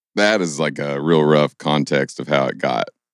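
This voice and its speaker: With a Kentucky accent, a man talks at a fairly slow pace in a very deep, low pitch, and the sound is dry and close with no echo. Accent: Southern US (Kentucky). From Kentucky (Stanford). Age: 20s. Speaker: singer-songwriter. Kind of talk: podcast interview. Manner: casual.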